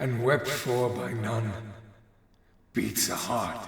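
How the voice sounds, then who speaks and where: A man puts on a raspy character voice at a medium pitch. He speaks at a very slow pace, with a clear echo around him. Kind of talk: dramatic speech. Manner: impassioned, defiant.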